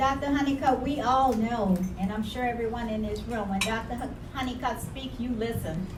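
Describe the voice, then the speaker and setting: A woman with an American accent speaks at a moderate pace in a high voice, with fairly even intonation and hardly any pauses. Noticeable background noise and audible room echo fill the recording. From New Orleans, US South. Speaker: nonprofit founder. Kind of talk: tribute speech at event.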